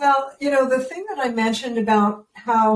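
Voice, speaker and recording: A plain, everyday voice moves at a moderate pace. The pitch rises and falls in an ordinary way. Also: woman. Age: 60s. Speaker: parenting educator. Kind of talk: interview. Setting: podcast.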